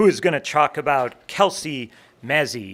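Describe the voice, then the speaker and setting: A man speaks with an American accent in a fairly high voice. His pitch swings very widely. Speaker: ceremony emcee. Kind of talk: emceeing a ceremony.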